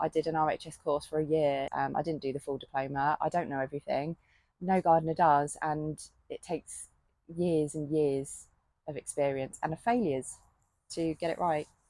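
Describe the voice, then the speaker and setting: A woman with a British accent has a very deep, low pitch and a dark, mellow tone. She speaks at a moderate pace with fairly even intonation, in a dry, close sound with no echo. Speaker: gardening vlogger and self-employed gardener. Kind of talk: casual vlog monologue. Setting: polytunnel on allotment. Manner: halting.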